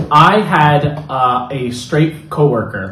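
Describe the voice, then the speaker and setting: With noticeable background noise and audible room echo, a man in a Californian accent speaks at a very slow pace and a fairly high pitch. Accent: American (California). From Los Angeles, US. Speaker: podcast interviewee. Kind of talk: casual chat.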